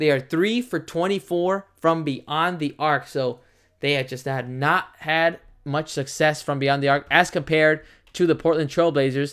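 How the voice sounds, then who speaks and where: Moderate delivery on a very clean recording, silent background behind it. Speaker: YouTube play-by-play commentator. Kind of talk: live commentary. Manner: casual, chatty with viewers; stumbling over words.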